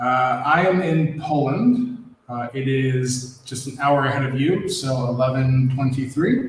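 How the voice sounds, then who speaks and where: Speaking with an American accent, a man talks at a very slow pace. Noticeable background noise and audible room echo fill the recording. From US Midwest, Ohio. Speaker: board game rules editor. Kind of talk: casual chat.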